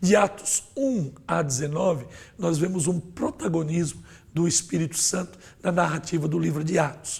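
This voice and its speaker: This man talks at a moderate pace with ordinary pitch variation. His voice sits high for a man. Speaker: pastor and Sunday school teacher. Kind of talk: Bible lesson lecture. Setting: studio.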